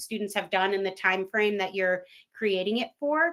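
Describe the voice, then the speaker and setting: A woman speaks in a plain, everyday voice at a fairly quick pace. Her pitch varies in an ordinary way. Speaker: webinar presenter for an education platform. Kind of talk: live webinar tutorial.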